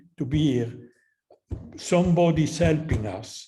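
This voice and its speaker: A man with an Italian accent speaks at a fairly slow pace in a fairly high pitch, his dark, mellow tone carrying ordinary pitch variation over audible room echo. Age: 80s+. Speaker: professor. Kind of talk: closing remarks at a conference. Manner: halting.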